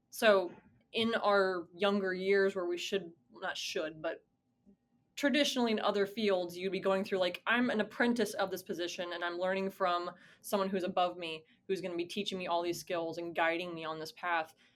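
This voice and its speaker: Speaking at a moderate pace with an American accent, a woman has a medium pitch and fairly even intonation. She has an unremarkable speaking voice. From US South (Georgia). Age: 20s. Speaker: college esports administrator. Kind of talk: interview. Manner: casual, many fillers and restarts.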